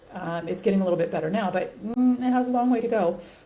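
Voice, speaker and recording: With noticeable background noise and audible room echo, a woman speaks at a fairly quick pace with ordinary pitch variation. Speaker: women's health and weight loss coach. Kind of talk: talking-head video tutorial. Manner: fast; animated.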